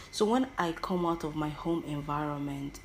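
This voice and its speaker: At a fairly slow pace, a woman with a very deep, low pitch talks in audible room echo. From Nigeria, Igbo-speaking southeast. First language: Igbo. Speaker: podcaster. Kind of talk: personal monologue. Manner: halting, with many self-corrections; animated, theatrical.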